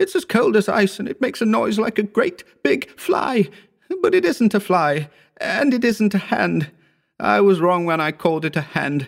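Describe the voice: A man's put-on character voice, high-pitched with vocal fry, at a moderate pace with lively intonation and few pauses, on a very clean recording with a silent background.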